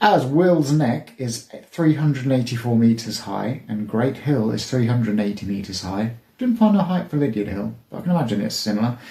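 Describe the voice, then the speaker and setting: Quiet and somewhat breathy, a man at medium pitch talks at a fairly quick pace with hardly any pauses. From England, Devon. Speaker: YouTuber. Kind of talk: casual vlog monologue. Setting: outdoors. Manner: hesitant.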